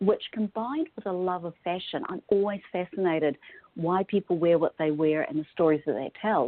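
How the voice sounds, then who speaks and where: A woman with a New Zealand accent, medium in pitch, with ordinary pitch variation and a moderate pace. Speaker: style consultant. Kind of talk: podcast interview.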